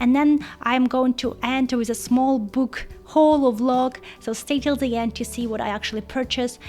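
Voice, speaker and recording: Music plays in the background as a woman speaks at a moderate pace, her pitch fairly high and her intonation fairly even. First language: not English. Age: 30s. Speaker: book vlogger. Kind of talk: casual vlog.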